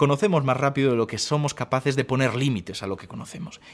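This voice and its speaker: Talking at a fairly quick pace in an ordinary speaking voice, a man with a fairly high pitch is heard in a very clean recording with a silent background. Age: 20s. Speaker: science communicator. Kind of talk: interview.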